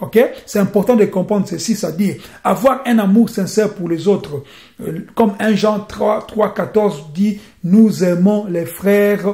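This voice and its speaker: Here a man speaks at a fairly slow pace and a high pitch. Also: ordinary pitch variation. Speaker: preacher. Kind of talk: sermon.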